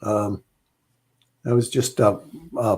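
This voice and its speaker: A man speaks somewhat breathily at a fairly slow pace in a very clean recording with a silent background. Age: 70s. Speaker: financial psychology coach and author. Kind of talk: interview conversation.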